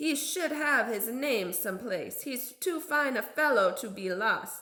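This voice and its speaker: A woman puts on a character voice, high-pitched with very wide pitch swings, at a fairly slow pace. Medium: read story.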